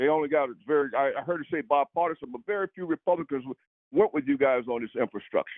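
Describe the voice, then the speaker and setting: Talking very fast, a man keeps a fairly high pitch with ordinary pitch variation. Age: 60s. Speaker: army veteran. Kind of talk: phone-in question at a town hall. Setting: phone call. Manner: halting, many repeats and fillers.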